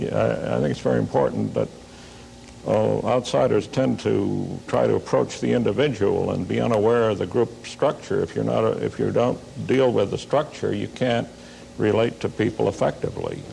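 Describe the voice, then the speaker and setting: There is noticeable background noise here. The man's delivery moves at a moderate pace. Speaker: sociology professor. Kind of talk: panel talk show discussion. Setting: tv studio with audience.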